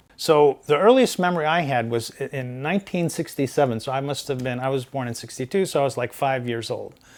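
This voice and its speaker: Speaking fairly quickly with hardly any pauses, a man has a plain, everyday voice, a fairly high pitch and ordinary pitch variation. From Saudi Arabia, American compound. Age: 60s. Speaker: software engineer and lawyer. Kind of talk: interview storytelling.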